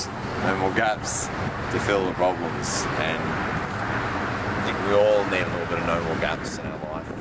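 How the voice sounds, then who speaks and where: A man talking with hardly any pauses over loud background noise. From Australia. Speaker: traveller vlogger. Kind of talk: casual travel vlog talk. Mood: dry, joking, tired. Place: street. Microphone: phone near.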